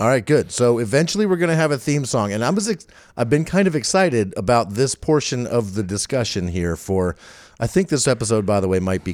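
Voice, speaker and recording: A loud man speaks at medium pitch and a fairly quick pace with very wide pitch swings. The recording is very clean with a silent background. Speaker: podcast co-host. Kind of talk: casual chat. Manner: animated.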